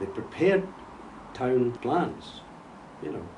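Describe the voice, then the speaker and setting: With a Scottish accent, a man speaks at a fairly slow pace and medium pitch, making very wide pitch swings. Audible room echo and noticeable background noise surround him. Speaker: retired architect. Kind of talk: interview conversation.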